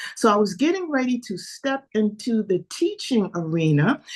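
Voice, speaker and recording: This woman speaks at a fairly slow pace in a New York accent, her voice somewhat breathy. Her pitch swings very widely. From New York City. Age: 70s. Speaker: fitness coach. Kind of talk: interview.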